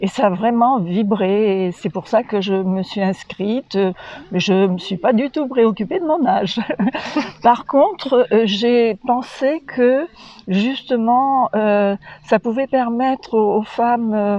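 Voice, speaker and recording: A woman's fairly high, dark and mellow voice at a very slow pace, with ordinary pitch variation. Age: 80s+. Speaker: holistic care practitioner, course participant. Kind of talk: testimony interview. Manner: halting, many hesitations.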